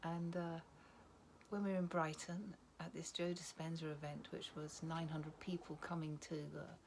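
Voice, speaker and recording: Somewhat breathy and fairly low in pitch, a woman speaks at a moderate pace. Her intonation stays monotone and flat. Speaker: retreat attendee sharing personal story. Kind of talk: testimony. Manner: staccato; halting.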